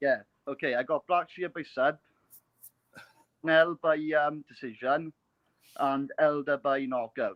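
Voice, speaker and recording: Using a Welsh accent, a man with a fairly high pitch speaks at a fairly slow pace with fairly even intonation and long, frequent pauses. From Wales. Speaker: caller. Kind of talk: call-in betting picks. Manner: halting, many ums.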